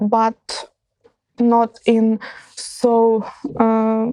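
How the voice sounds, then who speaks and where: A woman's fairly high voice with a dark, mellow tone. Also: dry, close sound with no echo. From central Ukraine. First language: Ukrainian or Russian. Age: 20s. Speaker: war refugee. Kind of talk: interview testimony. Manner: halting, many fillers.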